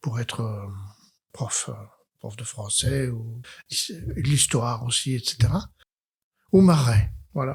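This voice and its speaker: A man speaks at a very slow pace with a medium pitch, somewhat breathy, with ordinary pitch variation, big swings in loudness, and long, frequent pauses. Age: 80s+. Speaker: psychiatrist. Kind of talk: interview testimony. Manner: hesitant, many fillers; gentle, humble.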